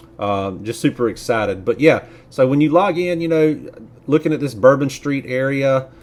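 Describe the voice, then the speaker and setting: Speaking with a Southern US accent, a man uses a fairly high pitch and lively intonation. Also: moderate pace. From US South. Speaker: YouTuber, nurse. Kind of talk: casual video commentary. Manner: hesitant, many fillers.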